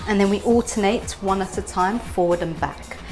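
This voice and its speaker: With music in the background, a woman speaks at a fairly slow pace and a medium pitch, her pitch variation ordinary. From Turkey. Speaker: belly dance teacher. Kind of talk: dance tutorial instruction. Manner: friendly.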